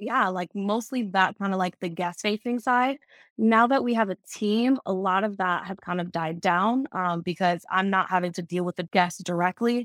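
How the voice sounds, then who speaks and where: In a very clean recording with a silent background, a woman speaks with an American accent at a moderate pace, medium in pitch. She has a normal speaking voice with ordinary pitch variation. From Fort Lauderdale, Florida, US. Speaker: short-term rental manager, former flight attendant. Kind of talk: casual interview.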